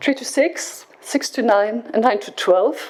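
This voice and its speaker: The woman talks fairly slowly while noticeable background noise carries on behind her. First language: French. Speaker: project coordinator presenting at education conference. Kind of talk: conference presentation. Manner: halting with repetitions.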